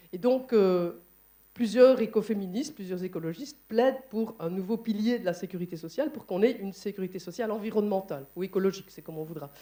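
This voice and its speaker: Speaking very fast with a Liège accent, a woman has a dark, mellow tone, ordinary pitch variation and big swings in loudness. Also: medium pitch for a woman. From Belgium, Liège. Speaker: conference moderator and trade unionist. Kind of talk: panel discussion at a conference. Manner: hesitant, many fillers.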